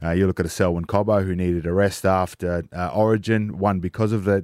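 Someone with an Australian accent speaks at a moderate pace with fairly even intonation, in a very clean recording against a silent background. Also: man. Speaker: former footballer guest. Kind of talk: casual radio chat. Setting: radio studio.

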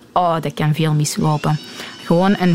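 Music plays in the background as a woman with a fairly low pitch speaks at a moderate pace. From Antwerp, Belgium (Deurne). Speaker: forklift driver. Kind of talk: interview. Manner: halting.

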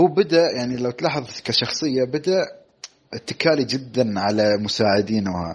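Using an ordinary speaking voice, a man at medium pitch talks at a fairly slow pace with lively intonation. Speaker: podcast co-host, film reviewer. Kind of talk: casual chat.

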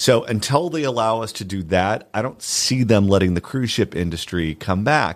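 A medium-pitched man with an American accent and very wide pitch swings, on a very clean recording with a silent background. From Southern California. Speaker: radio host. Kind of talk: casual chat. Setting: studio.

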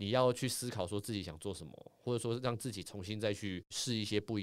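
At a very fast pace, a man with a fairly low pitch speaks in a very clean recording with a silent background. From Taiwan, Taipei. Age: middle-aged. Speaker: former sports anchor and author. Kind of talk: casual chat. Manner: animated.

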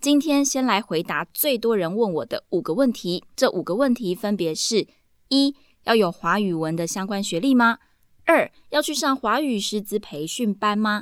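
Her medium-pitched voice swings very widely in pitch as this woman talks at a moderate pace, in a very clean recording with a silent background. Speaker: podcast host and Mandarin teacher. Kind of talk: solo podcast monologue.

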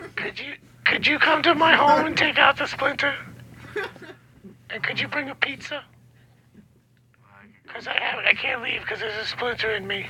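A woman's put-on character voice, raspy and high-pitched, at a moderate pace broken by long, frequent pauses. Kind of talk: phone voice.

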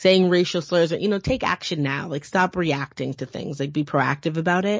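A woman speaks with an American accent at a fairly quick pace. Her pitch varies in an ordinary way. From US, western Massachusetts. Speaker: historian and professor. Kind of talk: casual interview conversation.

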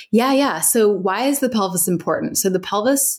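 With an American accent, a woman uses an ordinary speaking voice at a moderate pace with ordinary pitch variation, in a very clean recording with a silent background. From US Midwest, Cincinnati, Ohio. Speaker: physical therapist. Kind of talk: casual interview.

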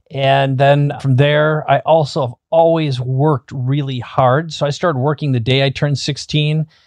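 A man's fairly high voice at a moderate pace, monotone and flat, with hardly any pauses. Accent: Upper Midwest. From US Midwest, small-town Minnesota. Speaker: business coach. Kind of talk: interview.

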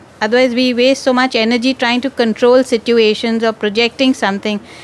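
Noticeable background noise runs under the speech. The delivery is fairly quick. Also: woman. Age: old. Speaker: audience member asking question. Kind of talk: question to teacher.

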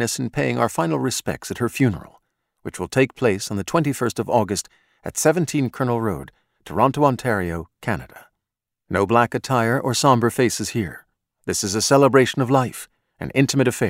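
A man talks at a medium pitch and a fairly quick pace, with vocal fry. The recording is very clean, the background silent. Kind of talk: audiobook narration of a mystery novel, read aloud. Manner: measured, even, literary narration.

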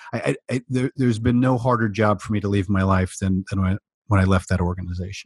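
Somewhat breathy and very fast, a man talks in a US Midwestern accent, with a dry, close sound with no echo. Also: fairly even intonation. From US Midwest, small-town Iowa. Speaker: diversity and inclusion speaker and consultant. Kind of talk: interview conversation. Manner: halting, many fillers and repeats.

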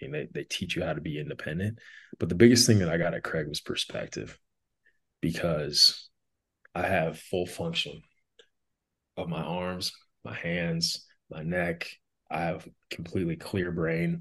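With an American accent and a very deep, low pitch, a man speaks at a moderate pace with ordinary pitch variation and long, frequent pauses. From North Dakota, south central. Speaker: motivational speaker. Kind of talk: interview, personal testimony.

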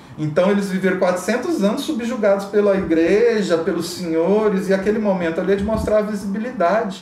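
Noticeable background noise runs under a man's high-pitched voice. He talks at a moderate pace. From Brazil, Catalão, Goiás. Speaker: academic researcher. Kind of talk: interview. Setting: hotel.

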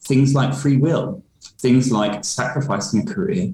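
A man's fairly high, somewhat breathy voice with a dark, mellow tone, very wide pitch swings and a fairly quick pace. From London, England. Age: 30s. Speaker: diversity and inclusion consultant. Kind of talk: interview.

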